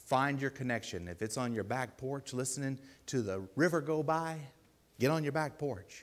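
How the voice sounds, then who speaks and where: A man with a normal speaking voice talks at a medium pitch and moderate pace with ordinary pitch variation, captured on a very clean recording with a silent background. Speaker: lay preacher. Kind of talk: sermon.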